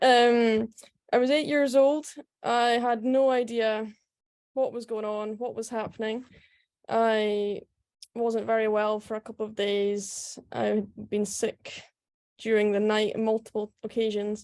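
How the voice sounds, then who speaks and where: In a Scottish accent, a woman speaks at a fairly slow pace with long, frequent pauses. Her fairly high voice stays monotone and flat against a quiet background. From Scotland, Aberdeen then Scottish Highlands. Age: 20s. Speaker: professional golfer. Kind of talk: talk at online event.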